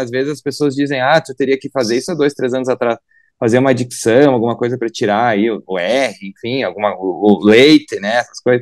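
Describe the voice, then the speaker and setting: A man talks at a fairly quick pace and medium pitch, with hardly any pauses. The sound is dry and close with no echo, a very clean recording with a silent background. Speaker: politician. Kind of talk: radio interview.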